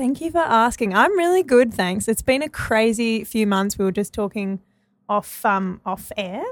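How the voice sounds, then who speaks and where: A woman talks in an unremarkable speaking voice at a moderate pace. Her pitch is fairly high and her intonation lively. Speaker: musician. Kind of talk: casual chat.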